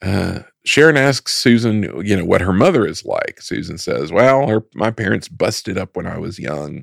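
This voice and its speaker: In an American accent with vocal fry, the voice moves at a moderate pace in a very clean recording with a silent background and a dry, close sound with no echo. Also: man. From United States. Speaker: film podcast co-host. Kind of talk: casual chat.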